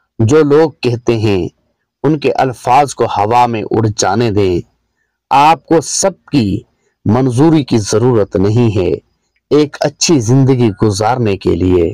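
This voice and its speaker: A man's medium-pitched voice with a dark, mellow tone and lively intonation, dry and close with no echo. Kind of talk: motivational speech.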